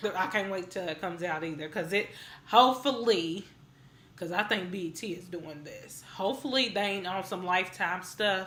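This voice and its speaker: A woman's bright, sharp, animated voice with lively intonation at a moderate pace, in audible room echo. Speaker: music video reviewer. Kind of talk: casual review vlog.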